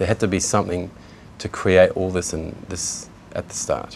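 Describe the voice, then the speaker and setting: This man talks at a fairly quick pace with a New Zealand accent. His pitch is very deep and low. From New Zealand, Kaikohe. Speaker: convert to Islam. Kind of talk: testimony. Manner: halting, many fillers.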